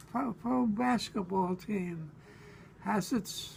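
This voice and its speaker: With a New York accent, a man talks in a high pitch and lively intonation. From Brooklyn, New York. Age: 80s+. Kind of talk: interview answer. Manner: halting, hesitant.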